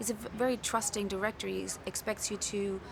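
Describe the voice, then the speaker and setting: With noticeable background noise behind her, a woman speaks at a fairly quick pace in a German accent. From Germany. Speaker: film actor. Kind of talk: press interview.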